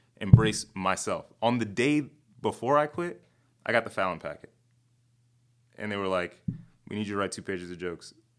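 Recorded very cleanly over a silent background, a man with an American accent and a fairly low voice uses lively intonation, big swings in loudness, and long, frequent pauses. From Chicago South Side. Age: 30s. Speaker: comedian and TV writer. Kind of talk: casual interview. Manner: fast talker.

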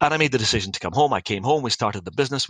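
A man talks in a Scottish accent with a bright, sharp tone and ordinary pitch variation. The audio is dry and close, with no echo. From Scotland; Dundee, Scotland. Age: 50s. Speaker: company CEO. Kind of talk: podcast interview, storytelling.

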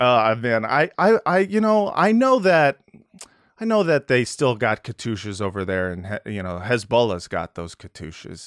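A man's voice with very wide pitch swings and big swings in loudness, in a dry, close sound with no echo. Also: medium pitch for a man, moderate pace. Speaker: podcast host. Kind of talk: casual chat. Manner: joking, self-deprecating.

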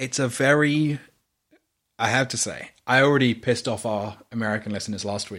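This man has a British accent and a medium pitch. He talks at a moderate pace with ordinary pitch variation. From UK. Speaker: podcast host. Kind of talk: casual chat.

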